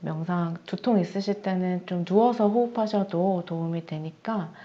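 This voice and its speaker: A woman's calm, dark, mellow voice at medium pitch, with fairly even intonation and a fairly slow pace. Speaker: meditation instructor. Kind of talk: meditation class wrap-up, group sharing. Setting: video call. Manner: calm, sleep-inducing.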